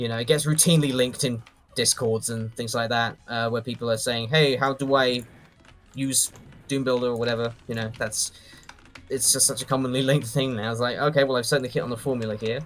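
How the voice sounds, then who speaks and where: Noticeable background noise sits behind a man talking at a very fast pace. His pitch is medium, and his intonation is monotone and flat. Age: 30s. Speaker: doom mapper and video creator. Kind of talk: casual chat.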